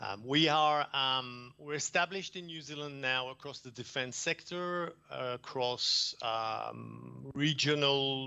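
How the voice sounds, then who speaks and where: The speech moves at a very slow pace with hardly any pauses, fairly even intonation and big swings in loudness. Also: man, fairly high pitch for a man. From France. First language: French. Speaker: environmental consultant presenter. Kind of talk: conference presentation. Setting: video call.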